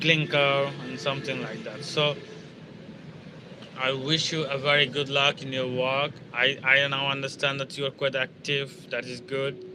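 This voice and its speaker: A fairly high-pitched man with a Bangladeshi accent, over noticeable background noise. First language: Bengali. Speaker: security guard and English learner. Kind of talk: casual live stream chat. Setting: outdoors by a river. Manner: halting, many fillers.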